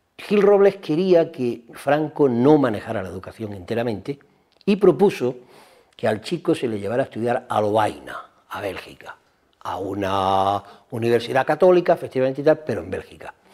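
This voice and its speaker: The speech moves at a moderate pace, with very wide pitch swings and big swings in loudness. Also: man, medium pitch for a man. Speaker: historian interviewee. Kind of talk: interview commentary.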